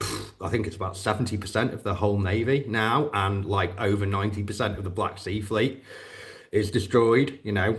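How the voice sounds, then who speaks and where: A man speaks with a British accent, his voice somewhat breathy. Audible room echo surrounds it. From northwest England. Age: 40s. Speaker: war veteran and drone operator vlogger. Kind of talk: live stream casual monologue. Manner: hesitant, repeating words.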